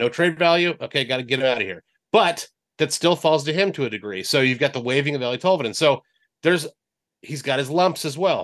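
Against a quiet background, a man with a fairly high pitch and lively intonation speaks at a very fast pace. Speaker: radio sports reporter. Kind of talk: casual sports chat.

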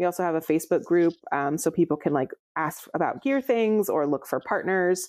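A woman with an American accent and an unremarkable speaking voice talks at a fairly quick pace with a fairly low pitch and lively intonation, the sound dry and close with no echo against a quiet background. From Central California, near Fresno. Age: 30s. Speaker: chiropractor and climber. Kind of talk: casual interview.

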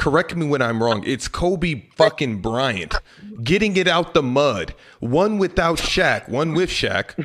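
A man's fairly slow speech with lively intonation and vocal fry. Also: fairly high pitch for a man. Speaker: basketball debate panelist. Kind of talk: casual banter.

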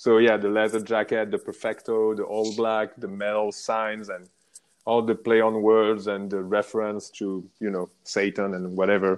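In a French accent, a man with a fairly low voice speaks at a moderate pace in a monotone, flat way. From France, Paris area. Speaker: motorcycle rider, traveler. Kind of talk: casual interview.

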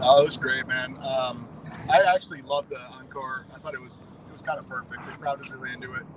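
A man with an American accent talks at a very fast pace and medium pitch, with fairly even intonation but big swings in loudness. Noticeable background noise runs underneath. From Wisconsin. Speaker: concert-goer, music fan. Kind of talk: casual chat.

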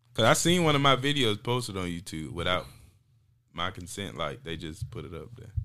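This man speaks fairly quickly in an American accent, his fairly low voice swinging very widely in pitch. His loudness rises and falls sharply, and his tone is bright and sharp. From North Carolina, Zebulon area. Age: 20s. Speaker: comedian. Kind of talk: casual chat.

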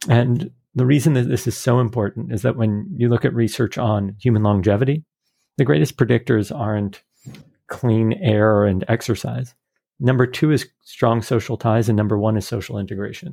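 This man has an unremarkable speaking voice, pitched in the medium range, with ordinary pitch variation and a moderate pace. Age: 40s. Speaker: networking dinner host. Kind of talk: interview.

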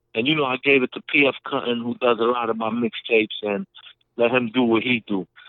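A man with a New York accent at medium pitch, fairly quick, with fairly even intonation. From Brooklyn, New York (Brownsville); Puerto Rican. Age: 50s. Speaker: rapper. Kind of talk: interview. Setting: phone call.

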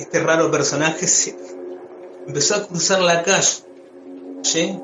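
Music plays in the background. A man speaks with a fairly high pitch. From Argentina, Buenos Aires. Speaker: podcast guest telling paranormal stories. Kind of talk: storytelling. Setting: phone call. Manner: halting.

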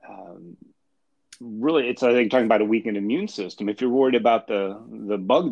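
A man talks at a moderate pace in an unremarkable speaking voice. His pitch is fairly low. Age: 50s. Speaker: author, wheelchair user. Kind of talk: casual spiritual discussion. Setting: phone or remote line.

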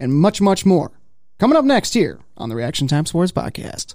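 A man with an American accent speaks at a high pitch. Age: 30s. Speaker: motorsports podcast host. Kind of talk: casual chat. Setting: studio.

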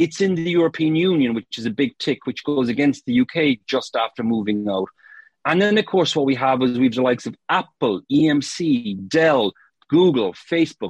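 With a lively intonation and an Irish accent, a man at medium pitch is heard in a dry, close recording with no echo. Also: moderate pace. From Ireland, Cork. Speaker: marketing consultant. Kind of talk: casual interview.

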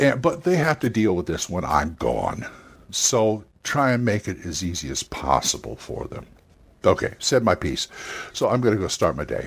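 Vocal fry and very wide pitch swings in a man's voice, moderate in pace. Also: fairly low pitch for a man. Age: 60s. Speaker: tabletop gaming podcast host. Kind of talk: casual monologue. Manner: halting.

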